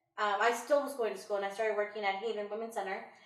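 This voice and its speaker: A medium-pitched woman's voice with audible room echo. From Illinois. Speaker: homeowner, women's center worker. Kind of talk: interview. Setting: at home.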